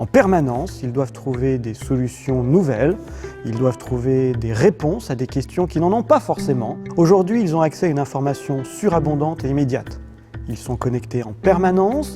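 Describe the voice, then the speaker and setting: Over music in the background, a man talks at a moderate pace. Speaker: company executive; author and speaker. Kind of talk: corporate video speech. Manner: stiff, unsmiling.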